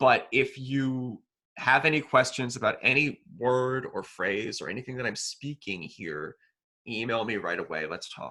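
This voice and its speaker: The voice has a bright, sharp tone with vocal fry and ordinary pitch variation. It moves at a fairly slow pace, with big swings in loudness. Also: man, medium pitch for a man. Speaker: college instructor. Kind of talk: tutorial.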